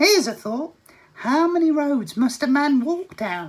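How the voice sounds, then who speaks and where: Put-on character voice pitched high. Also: moderate pace. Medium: read story. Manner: brisk, testy.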